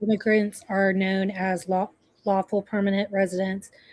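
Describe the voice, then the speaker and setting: A woman's somewhat breathy, monotone voice at medium pitch, flat in intonation, dry and close with no echo over a quiet background. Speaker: nursing student. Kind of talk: reading aloud.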